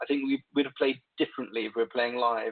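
A medium-pitched man in an English accent, monotone and flat in intonation. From England. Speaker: keyboardist. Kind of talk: casual interview chat. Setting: remote call from home.

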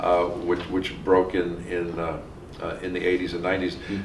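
Fairly low male voice amid light background noise and audible room echo. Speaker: criminologist interviewer. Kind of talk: oral history interview. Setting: academic conference.

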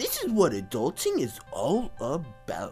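Clear music plays in the background as a man performs a cartoonish character voice. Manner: chummy, excitable, then anxious.

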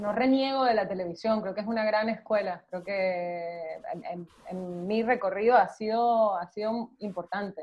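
Speaking fairly slowly, the woman uses ordinary pitch variation. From Venezuela. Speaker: actress. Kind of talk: casual chat. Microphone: video call.

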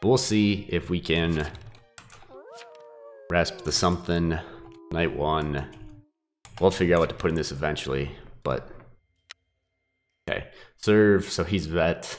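A man's very deep, low voice at a fairly slow pace, with long, frequent pauses and ordinary pitch variation. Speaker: gaming YouTuber. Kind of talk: gameplay commentary. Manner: casual.

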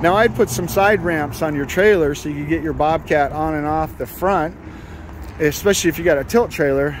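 A man with a plain, everyday voice and a fairly high pitch talks at a fairly quick pace with ordinary pitch variation, in dry sound with no echo and light background noise. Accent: American. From United States. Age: 60s. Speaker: YouTuber and equipment dealer; YouTuber. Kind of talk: product demonstration walkthrough. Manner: casual, conversational. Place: open country. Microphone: phone near.

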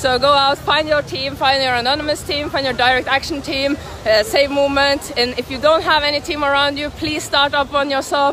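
Hardly any pauses break this woman's raised, projected voice. Her pitch is high. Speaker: traveling animal rights activist filming a protest. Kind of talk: street protest vlog narration. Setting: outdoors in city streets and shops. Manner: enthusiastic.

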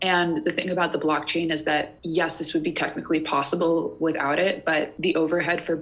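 A woman with a plain, everyday voice speaks at fairly low pitch and a fairly quick pace. Her intonation is fairly even, her loudness very even, and she hardly pauses. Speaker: guest. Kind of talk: interview answer. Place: home room. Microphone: earbuds.

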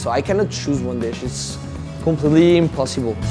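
Against clear music in the background, a man speaks at a fairly quick pace. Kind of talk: interview answer. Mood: warm, enthusiastic. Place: cafe. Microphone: lapel.

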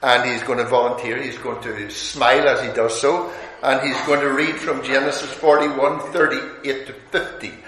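Audible room echo and light background noise surround a man speaking with fairly even intonation. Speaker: visiting preacher. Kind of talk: sermon. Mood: warm, good humoured. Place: hall.

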